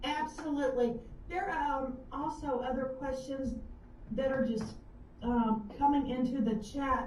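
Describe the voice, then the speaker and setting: A woman with an American accent speaks with fairly even intonation, and audible room echo surrounds her voice. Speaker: author. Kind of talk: live web show interview. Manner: halting.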